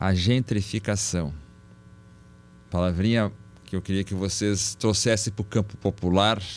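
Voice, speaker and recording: The voice is monotone and flat, moving at a fairly slow pace with long, frequent pauses. The recording is very clean, with a silent background. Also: man, fairly low pitch for a man. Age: 60s. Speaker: professor, podcast moderator. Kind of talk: podcast discussion.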